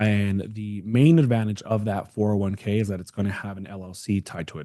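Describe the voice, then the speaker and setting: Speaking at a fairly quick pace, a man has a fairly low pitch and a dark, mellow tone with ordinary pitch variation. The background is quiet. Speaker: retirement account specialist. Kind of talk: live webinar Q&A. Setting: online webinar. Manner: quiet, speaking low.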